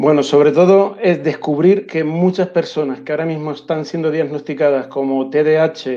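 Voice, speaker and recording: Speaking in a Canarian accent, a man uses a fairly high pitch and fairly even intonation. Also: moderate pace. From Canary Islands (Las Palmas). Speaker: education researcher and school counselor. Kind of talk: interview.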